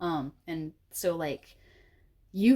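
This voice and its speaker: A woman's very deep, low voice moves with ordinary pitch variation. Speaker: tarot card reader. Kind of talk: pick-a-card tarot reading. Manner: casual, many fillers.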